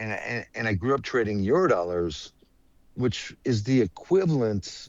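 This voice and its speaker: Using a normal speaking voice, a man with an American accent talks at a moderate pace at fairly low pitch over a quiet background. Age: 60s. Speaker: trader. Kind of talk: casual chat.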